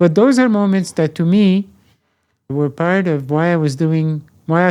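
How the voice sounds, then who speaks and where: A man's high-pitched, dark and mellow voice with a French accent, ordinary pitch variation and a moderate pace, on a very clean recording with a silent background. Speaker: professor emeritus. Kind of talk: interview. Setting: podcast interview. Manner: halting.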